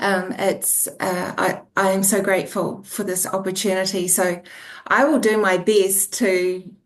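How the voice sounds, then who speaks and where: Speaking with a New Zealand accent, a woman holds a medium pitch. Her intonation is fairly even and her pace fairly slow. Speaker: author, former registered nurse. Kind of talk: interview. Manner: halting.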